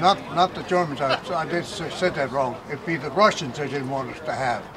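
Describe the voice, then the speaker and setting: The speech moves at a fairly quick pace. Audible room echo and noticeable background noise are present. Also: man. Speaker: WWII bomber crew veteran. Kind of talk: interview.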